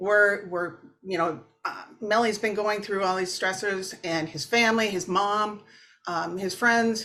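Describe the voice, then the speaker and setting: With a Minnesotan accent, a woman at medium pitch speaks fairly slowly in a bright, sharp tone with fairly even intonation, on a very clean recording with a silent background. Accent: Minnesota. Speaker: therapist. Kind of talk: interview. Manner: casual, hesitant with fillers.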